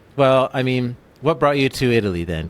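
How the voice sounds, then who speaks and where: At a moderate pace and medium pitch, a man with a Canadian accent talks in an ordinary speaking voice. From English Canada. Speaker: podcast host. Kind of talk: interview conversation.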